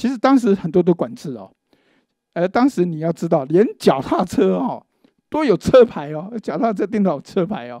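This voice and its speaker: With a dark, mellow tone and a high pitch, a man speaks at a moderate pace, his pitch swinging very widely and his loudness shifting a lot, in a dry sound with no echo against a quiet background. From Taiwan. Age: 60s. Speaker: law professor and forum host; press conference host or speaker. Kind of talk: panel discussion speech. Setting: legislature meeting room. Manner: halting with many fillers. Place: meeting room. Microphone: handheld.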